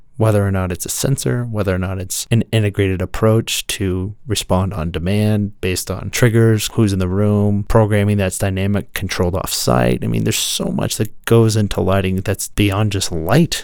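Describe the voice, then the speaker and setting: Over noticeable background noise, a man with a fairly low voice talks at a moderate pace with ordinary pitch variation and hardly any pauses. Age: 30s. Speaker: podcast host on architectural lighting. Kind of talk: casual interview chat. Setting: podcast studio.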